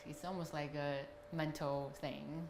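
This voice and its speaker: In a room with audible echo and noticeable background noise, a woman with a Chinese accent speaks in a very deep, low pitch and a flat monotone. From China. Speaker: customer giving a review. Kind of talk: testimonial interview.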